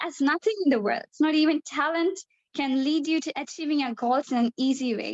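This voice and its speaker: A woman with a non-native accent speaks at a high pitch with ordinary pitch variation. The sound is dry and close, with no echo. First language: not English. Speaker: debate participant. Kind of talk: debate speech. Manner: halting.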